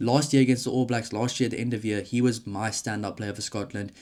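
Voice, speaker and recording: With a South African accent, a man speaks very fast in a monotone, flat intonation. The recording is very clean, with a silent background. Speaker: rugby YouTuber. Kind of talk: solo commentary video. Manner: casual, conversational.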